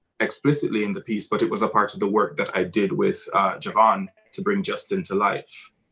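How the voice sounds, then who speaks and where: A man speaks with a Jamaican accent. His pace is fairly quick. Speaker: theatre director. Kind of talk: post-show talkback. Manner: halting.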